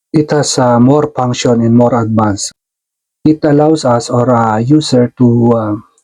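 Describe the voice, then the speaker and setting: Fairly slow, fairly even speech from a man, medium in pitch, with a dark, mellow tone. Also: very even loudness. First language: not English. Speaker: tech tutorial youtuber, stage lighting technician. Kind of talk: tutorial. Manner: halting, many fillers.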